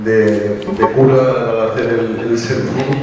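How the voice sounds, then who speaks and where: There is strong room echo and light background noise. A man speaks with fairly even intonation. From Spain. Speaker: event organizer and moderator. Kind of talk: event moderation. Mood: warm, lightly humorous. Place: hall.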